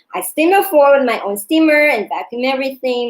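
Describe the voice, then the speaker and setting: A woman speaks in a high voice. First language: not English. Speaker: yoga instructor and vlogger. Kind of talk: personal storytelling vlog. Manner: hesitant.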